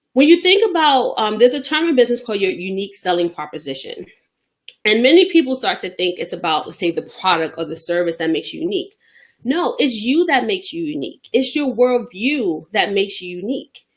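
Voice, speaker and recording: A woman with a Bronx accent speaks at a fairly quick pace in a high pitch, her voice showing very wide pitch swings and big swings in loudness. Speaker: business coach. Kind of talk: motivational business tip talk to camera. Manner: casual, conversational.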